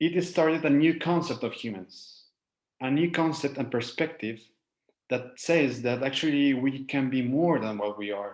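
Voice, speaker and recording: A man speaks with a Spanish accent at a fairly slow pace. His intonation is lively. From Mexico. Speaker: life coach. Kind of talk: lecture. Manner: halting.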